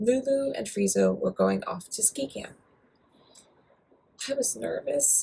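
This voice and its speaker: Talking fairly slowly, a woman speaks with an American accent. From United States. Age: 40s. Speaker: writer and stroke survivor. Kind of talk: reading aloud. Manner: occasional stumbles.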